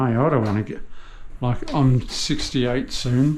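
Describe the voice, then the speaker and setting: In an Australian accent, a man talks at a medium pitch amid audible room echo. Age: 60s. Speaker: tradesman. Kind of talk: casual chat.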